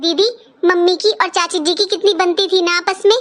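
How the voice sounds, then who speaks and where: This is a cartoonish character voice from a woman. She talks at a fairly quick pace with fairly even intonation. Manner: emotional, insistent.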